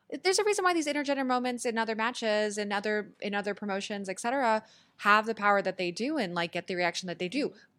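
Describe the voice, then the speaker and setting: Her tone bright and sharp, a woman speaks at a very fast pace with lively intonation. The recording is very clean, the background silent. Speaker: wrestling podcaster and blogger. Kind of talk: casual panel discussion. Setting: studio.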